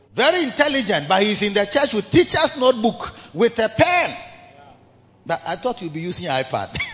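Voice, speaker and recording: Over noticeable background noise, a man with a high pitch makes very wide pitch swings and big swings in loudness. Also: moderate pace. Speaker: bishop and pastor. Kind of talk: sermon. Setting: church service with congregation.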